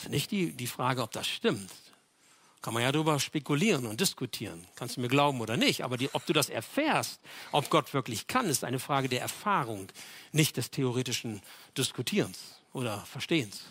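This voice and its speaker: This man speaks at a fairly quick pace with a medium pitch, lively intonation and an animated tone, on a very clean recording with a silent background. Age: 60s. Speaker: pastor. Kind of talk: sermon.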